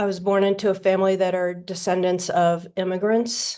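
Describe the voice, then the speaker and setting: A woman with an American accent speaks at a moderate pace in a dark, mellow tone, her intonation monotone and flat. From South Florida, US. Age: 60s. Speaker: recovery meeting speaker. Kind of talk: testimony. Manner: halting.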